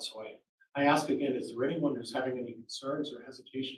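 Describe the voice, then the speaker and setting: Somewhat breathy and fairly quick, a man talks at a fairly high pitch amid audible room echo. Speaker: attorney questioning jurors. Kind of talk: jury selection questioning. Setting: courtroom.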